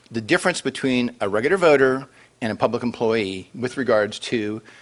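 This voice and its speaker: Noticeable background noise fills the clip. Through it, a man talks at a medium pitch. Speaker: city council member and finance professional. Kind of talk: panel presentation. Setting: lunch event with audience. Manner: fast; halting with many fillers.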